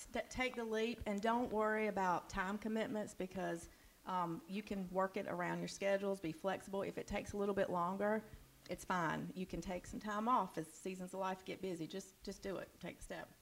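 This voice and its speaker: A woman with an ordinary speaking voice talks at a fairly quick pace and a medium pitch, her intonation fairly even. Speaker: church member who disciples others. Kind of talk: casual interview on stage. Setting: church with audience.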